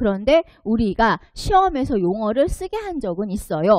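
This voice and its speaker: The sound is dry and close, with no echo and a quiet background. A woman talks at a moderate pace, her pitch swinging very widely. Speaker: exam prep lecturer. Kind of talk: online lecture.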